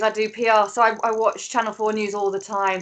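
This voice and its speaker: A woman's fairly high, bright, sharp voice at a fairly quick pace. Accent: British. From England. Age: 40s. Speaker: PR strategist; guest. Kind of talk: panel discussion. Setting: video call. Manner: animated. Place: home room. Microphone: video call.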